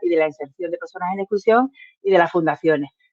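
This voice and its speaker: Speaking at a very fast pace, a woman keeps her pitch in the medium range. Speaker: representative of a social enterprise association. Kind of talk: presentation at an online workshop.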